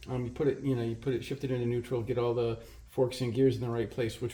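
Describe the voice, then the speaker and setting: Here a man talks at a very fast pace and medium pitch. His tone is dark and mellow, and somewhat breathy. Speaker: motorcycle hobbyist mechanic. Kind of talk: tutorial. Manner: hesitant, many fillers; mumbling at times.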